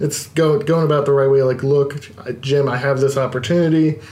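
Over noticeable background noise and audible room echo, a man with an American accent talks at a fairly quick pace in a fairly high voice. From Baltimore, US. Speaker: independent wrestler. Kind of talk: casual chat. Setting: studio.

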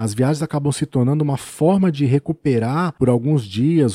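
A man talks at a moderate pace with a dark, mellow tone and lively intonation. The sound is dry and close, with no echo. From São Paulo state, Brazil (city of São Paulo and Birigui). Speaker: travel podcaster. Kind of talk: personal storytelling monologue.

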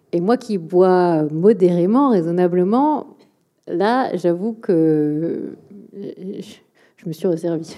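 A woman speaks at a very slow pace with a dark, mellow tone, ordinary pitch variation, and long, frequent pauses. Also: medium pitch for a woman. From France, Bordeaux area. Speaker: think tank director and author. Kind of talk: public talk and Q&A. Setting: auditorium with live audience.

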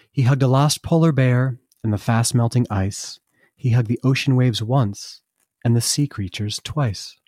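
A man sings in a sing-song way with an American accent and a warm, gentle, dark, mellow tone. The sound is dry and close with no echo, on a very clean recording with a silent background. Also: medium pitch for a man, ordinary pitch variation, moderate pace. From US Northeast, Vermont. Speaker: artist and children's book author. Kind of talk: children's story reading aloud, rhyming picture-book verse. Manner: rhythmic sing-song rhyming cadence; warm, gentle storyteller delivery.

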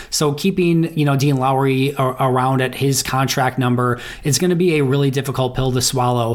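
A man at a medium pitch and fairly quick pace, over noticeable background noise. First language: English (speaking German). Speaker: NFL analyst. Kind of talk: recorded commentary.

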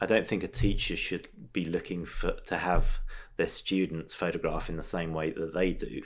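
Speaking at a moderate pace in an English accent, a man is heard on a very clean recording with a silent background. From England. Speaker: street photographer. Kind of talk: casual interview.

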